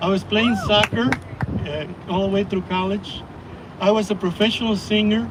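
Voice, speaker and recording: A man with a Mexican accent at a high pitch and moderate pace, ordinary pitch variation, long, frequent pauses and noticeable background noise. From Mexico City, Mexico. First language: Spanish. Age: 70s. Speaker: church member giving testimony. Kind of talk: testimony.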